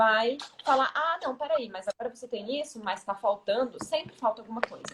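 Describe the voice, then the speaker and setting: A high-pitched woman's voice with very wide pitch swings. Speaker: self-esteem mentor. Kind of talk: interview answer.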